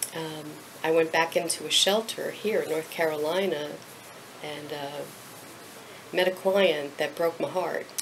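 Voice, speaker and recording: A woman's fairly low voice at a fairly slow pace, with long, frequent pauses over light background noise. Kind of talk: interview answer. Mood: emotional, heartfelt recollection. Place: office. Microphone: camera far.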